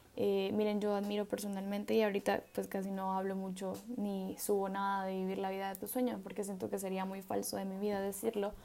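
Over noticeable background noise, a woman talks at a fairly quick pace with hardly any pauses, in a flat monotone at medium pitch. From El Salvador. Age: 20s. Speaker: podcast host, medical student. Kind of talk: solo reflective monologue. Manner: casual, hesitant with fillers.

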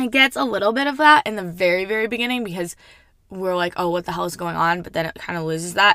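On a very clean recording with a silent background, a woman with a fairly low pitch and a bright, sharp tone talks at a fairly quick pace with ordinary pitch variation. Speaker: podcast host, book reviewer. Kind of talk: casual solo review. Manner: casual, chatty with many fillers.

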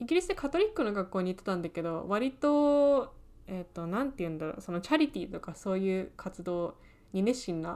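A woman speaks at medium pitch with very wide pitch swings. Her pace is fairly quick. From England. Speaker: podcast co-host, aspiring screenwriter. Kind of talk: casual chat.

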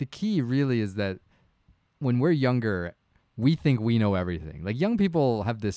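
A man with a Canadian accent and a plain, everyday voice speaks at a moderate pace with lively intonation. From Canada. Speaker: podcast co-host, family doctor. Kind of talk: casual chat. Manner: laughs often.

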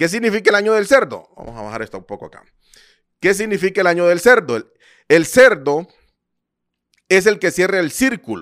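A man speaks in a high pitch with very wide pitch swings and big swings in loudness, at a fairly quick pace. Long, frequent pauses break up his speech, and the recording is very clean with a silent background. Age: 30s. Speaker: podcast host, import business coach. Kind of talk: live stream talk. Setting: live stream on social media.

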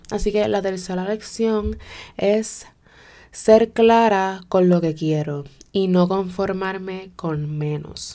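In a Puerto Rican accent, a woman speaks very slowly with a dark, mellow tone, a medium pitch and ordinary pitch variation. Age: 20s. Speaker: podcast host. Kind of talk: personal monologue. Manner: code-switching Spanish-English.

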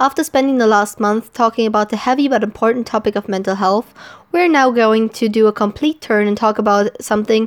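Speaking at a fairly quick pace, a woman uses a fairly high pitch with ordinary variation, and the sound is dry and close with no echo. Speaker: podcast host. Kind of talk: solo announcement. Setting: away from home, not usual recording setup. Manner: unscripted, run-on.

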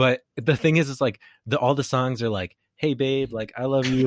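Moving at a moderate pace, a man with an unremarkable speaking voice talks at medium pitch, the sound dry and close with no echo. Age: 20s. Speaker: podcast host. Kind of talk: casual chat.

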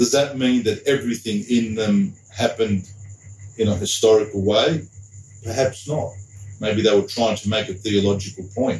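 With an Australian accent, a man speaks at a fairly low pitch and a moderate pace. His somewhat breathy voice keeps fairly even intonation. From Sydney, Australia. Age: 50s. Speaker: deacon and school teacher. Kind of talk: casual interview chat.

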